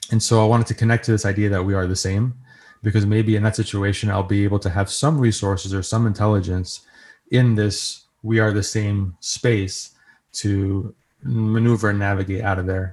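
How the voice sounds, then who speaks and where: A man speaks at a moderate pace with a fairly low pitch, a somewhat breathy voice and an American accent. His intonation stays fairly even on a very clean recording with a silent background. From New York. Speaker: software engineer and composer, guest. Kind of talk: interview, storytelling.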